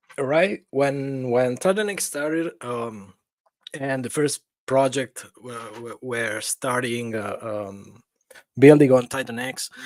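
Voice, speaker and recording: A man with a non-native accent speaks very slowly at a medium pitch, with ordinary pitch variation. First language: not English (undisclosed). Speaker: crypto project founder. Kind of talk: casual interview. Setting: remote call into livestream. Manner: halting, repeats words.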